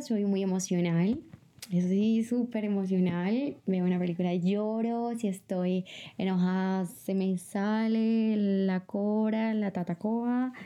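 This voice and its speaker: A woman's dark, mellow voice with ordinary pitch variation. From Bogotá, Colombia. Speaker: personal growth podcaster. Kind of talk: casual monologue. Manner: animated.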